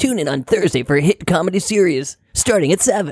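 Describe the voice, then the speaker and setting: A man puts on a character voice pitched high. He talks at a fairly quick pace. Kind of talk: announcer promo.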